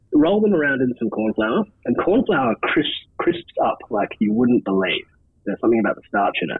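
Moving at a fairly quick pace, a man with an Australian accent speaks with very wide pitch swings. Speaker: camp cook. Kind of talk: tutorial.

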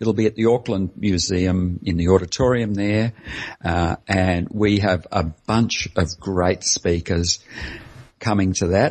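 A man with an Australian accent speaks at a fairly slow pace in a very deep, low voice, his loudness very even and his intonation fairly even. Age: 60s. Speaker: anesthesiologist and low-carb advocate. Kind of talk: interview.

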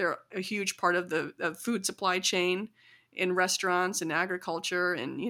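A woman at a medium pitch with a Midwestern American accent and a bright, sharp tone, her intonation fairly even, on a very clean recording with a silent background. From US Midwest, small-town Illinois. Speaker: community organizer. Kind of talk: casual interview.

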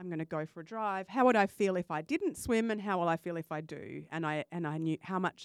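This woman has a fairly low pitch and an Australian accent, talking at a moderate pace with lively intonation and an enthusiastic tone. The sound is dry and close, with no echo. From Western Australia. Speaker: life coach and podcaster. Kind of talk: casual interview chat.

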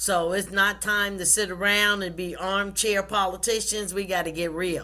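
A woman with an American accent speaks at a fairly slow pace. Her intonation is monotone and flat. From US South, South Carolina. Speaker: pastor and author. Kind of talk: interview.

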